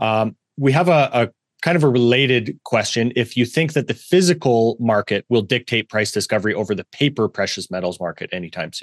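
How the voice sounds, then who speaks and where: Fairly quick and lively in intonation, this man has a plain, everyday voice at a medium pitch, set against a quiet background. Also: dry, close sound with no echo. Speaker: podcast host. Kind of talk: interview Q&A.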